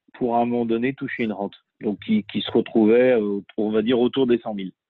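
A man's medium-pitched voice moves at a moderate speed with fairly even intonation. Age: 30s. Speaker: real estate investor and author. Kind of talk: interview. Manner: halting, many repetitions.

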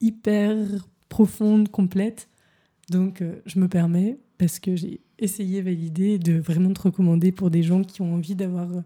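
A woman's medium-pitched voice comes out somewhat breathy, with a dark, mellow tone and monotone, flat intonation. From Paris. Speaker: podcast host and coach. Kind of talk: casual interview.

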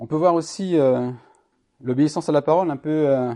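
A man talks at a moderate pace, his pitch varying in an ordinary way, the background around him quiet. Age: 50s. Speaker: lay preacher. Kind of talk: sermon. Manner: halting.

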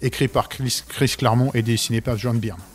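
With monotone, flat intonation, a man at a medium pitch speaks at a fairly quick pace. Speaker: comic book author. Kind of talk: casual chat. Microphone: too far from mic at first.

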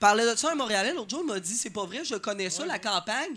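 On a very clean recording with a silent background, a man with a high pitch uses a raised, projected voice, a bright, sharp tone, and lively intonation. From Beauce, Quebec. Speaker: stand-up comedian. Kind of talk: stand-up. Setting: stage with live audience.

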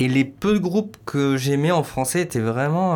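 A man's voice moves with ordinary pitch variation. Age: 30s. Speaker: musician. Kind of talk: interview. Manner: halting.

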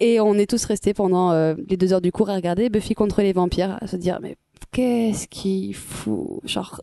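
The woman's medium-pitched voice has a dark, mellow tone and fairly even intonation, with a dry, close sound and no echo. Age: 20s. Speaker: university student. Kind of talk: casual chat.

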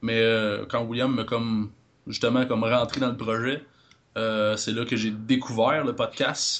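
A man at medium pitch, speaking at a fairly slow pace. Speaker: podcaster. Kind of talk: casual chat.

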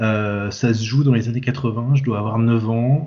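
Here a man with a plain, everyday voice talks at medium pitch with ordinary pitch variation. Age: 40s. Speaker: comics translator and editor. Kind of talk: casual chat.

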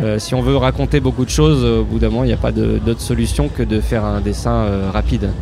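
With room echo and noticeable background noise, a man with a very deep, low pitch speaks fairly quickly with hardly any pauses, very even loudness and ordinary pitch variation. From Picardie, northern France. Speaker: comic artist. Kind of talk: interview.

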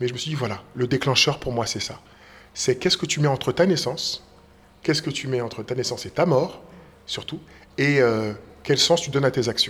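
Speaking at a fairly quick pace but with long, frequent pauses, a man uses a fairly high pitch with ordinary variation. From Paris region, France. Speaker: school director and stage author-actor. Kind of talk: interview.

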